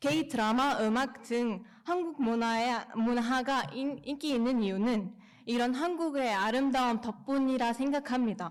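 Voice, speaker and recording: The woman's high-pitched voice moves at a fairly slow pace, with ordinary pitch variation and very even loudness. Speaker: speech contest participant. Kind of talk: prepared speech. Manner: halting, self-correcting.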